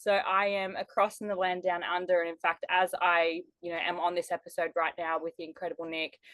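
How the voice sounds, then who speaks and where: A woman's fairly low, monotone voice with a strong Australian accent, flat in intonation, fairly quick and with hardly any pauses. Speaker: life strategist and business mentor. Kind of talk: podcast interview.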